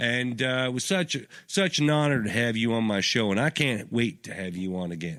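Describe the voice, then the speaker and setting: On a very clean recording with a silent background, a man with a Southern US accent talks at a medium pitch with lively intonation. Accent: put-on Southern drawl in this chat. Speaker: radio show host. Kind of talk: casual chat.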